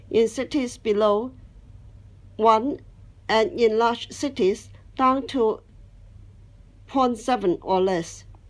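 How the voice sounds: Her pitch is fairly high for a woman, with ordinary variation. The woman talks slowly, leaving long, frequent pauses.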